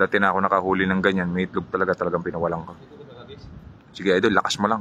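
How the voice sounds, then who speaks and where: A quiet, very deep, low man's voice at a very fast pace, over noticeable background noise. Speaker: fishing vlogger. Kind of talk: live stream chat with viewer shoutouts. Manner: speaking quietly; animated.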